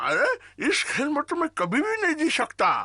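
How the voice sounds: The speaker uses a cartoonish character voice pitched high. The pace is moderate.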